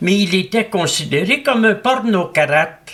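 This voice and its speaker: With noticeable background noise behind him, a man talks with lively intonation. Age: 80s+. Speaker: philosopher. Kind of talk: interview. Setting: at his home.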